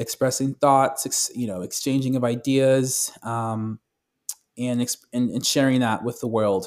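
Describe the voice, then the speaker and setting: On a very clean recording with a silent background, a man speaks at a medium pitch in a monotone, flat intonation. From Southern California. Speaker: musician and recording artist. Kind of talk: interview. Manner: frequent fillers, casual.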